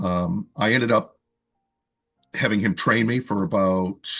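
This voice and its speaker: A man's fairly low voice with a slight Boston accent, very slow, with ordinary pitch variation and music in the background. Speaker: fitness coach and author. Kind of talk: interview conversation. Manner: casual, with frequent fillers and repetitions.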